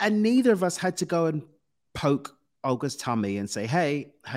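A man talks in a British accent with very wide pitch swings. The recording is very clean, with a silent background. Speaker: success coach. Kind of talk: casual interview.

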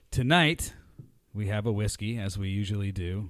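A man's fairly low-pitched voice on a very clean recording with a silent background. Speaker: podcast host. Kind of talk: casual banter podcast. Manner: animated, joking.

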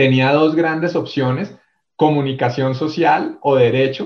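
Speaking with a Bogotá accent, a man keeps a fairly slow pace and fairly even intonation. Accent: Bogotá Colombian (rolo). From Bogotá, Colombia. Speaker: corporate HR executive. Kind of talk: interview storytelling.

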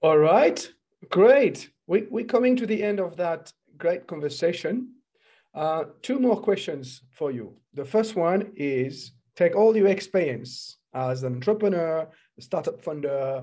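The voice has a dark, mellow tone and a French accent, with very wide pitch swings. It moves at a fairly slow pace over a quiet background. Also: man, high pitch for a man. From France. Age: 40s. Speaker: podcast host and entrepreneurship coach. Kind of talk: interview.

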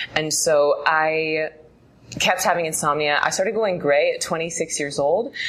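With noticeable background noise, a woman speaks at a very deep, low pitch, her intonation fairly even. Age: 30s. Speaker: meditation teacher. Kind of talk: casual chat. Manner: fast.

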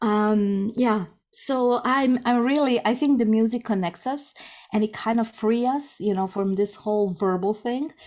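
In a Croatian accent, a woman talks at a fairly slow pace and a fairly high pitch, with ordinary pitch variation and very even loudness. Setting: video call. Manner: energetic, laughs often.

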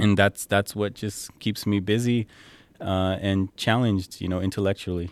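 Speaking at a moderate pace in a fairly low pitch, a man keeps a monotone, flat intonation, recorded with a dry, close sound and no echo. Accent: Californian. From San Jose, Bay Area, California. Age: 30s. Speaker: model and consultant. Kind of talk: casual interview. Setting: at his home, outdoors with a view. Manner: frequent fillers and laughs.

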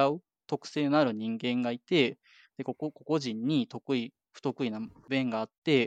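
This man has a fairly high pitch and ordinary pitch variation. His sound is dry and close, without echo. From Japan. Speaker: software engineer. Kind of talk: casual interview.

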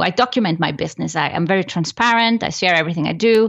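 Speaking at a fairly quick pace, a woman with an Icelandic accent uses lively intonation. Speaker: business coach. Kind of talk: interview.

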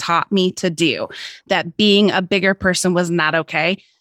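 Using an ordinary speaking voice, a woman at medium pitch talks at a moderate pace with fairly even intonation. The very clean recording has a silent background and a dry, close sound with no echo. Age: 40s. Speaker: lifestyle blogger and podcaster. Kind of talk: casual chat.

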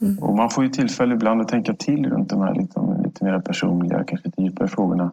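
A man with a medium pitch talks at a very fast pace, with very wide pitch swings and very even loudness. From Stockholm, Sweden. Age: 50s. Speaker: government agency director. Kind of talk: interview.

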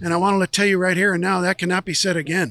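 High-pitched man's voice, bright and sharp in tone, with an American accent. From Santa Barbara, California. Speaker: retired insurance agent, zoo train conductor. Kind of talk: casual interview.

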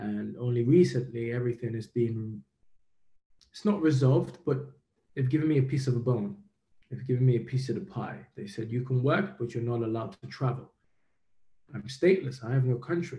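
Talking at a fairly quick pace with long, frequent pauses, a man has a dark, mellow tone that is somewhat breathy, with ordinary pitch variation. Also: medium pitch for a man. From Nigeria. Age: 30s. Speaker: professional boxer. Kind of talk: interview.

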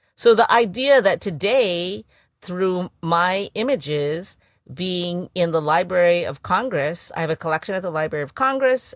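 The recording is very clean, silent in the background, dry and close with no echo, as a woman with fairly low pitch and lively intonation talks at a moderate pace in an unremarkable speaking voice. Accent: American. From US West Coast, San Francisco. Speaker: actor and filmmaker. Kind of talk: interview.

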